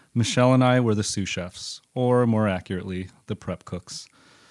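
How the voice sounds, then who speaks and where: Fairly quick, medium-pitched speech from a man in a normal speaking voice, with ordinary pitch variation, on a very clean recording with a silent background. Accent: American. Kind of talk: reading aloud personal essay.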